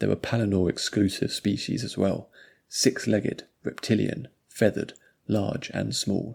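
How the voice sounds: Against a quiet background, a natural reading voice keeps fairly even intonation.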